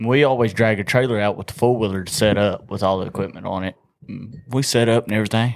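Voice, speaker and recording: A man with a Southern US accent talks at a very fast pace. His medium-pitched voice has fairly even intonation. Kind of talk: casual chat.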